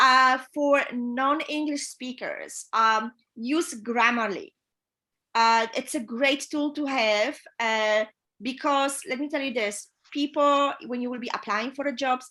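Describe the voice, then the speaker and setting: A woman's raised, projected, high-pitched voice with a Polish accent at a very slow pace, in a very clean recording with a silent background. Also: ordinary pitch variation. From Poland. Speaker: yacht chief stewardess. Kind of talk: interview advice. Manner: hesitant with fillers.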